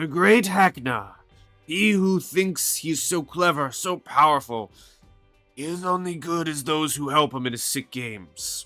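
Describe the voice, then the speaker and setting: A man puts on a raspy character voice at a fairly high pitch, speaking at a moderate pace with lively intonation over faint background music. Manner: defiant, bitter.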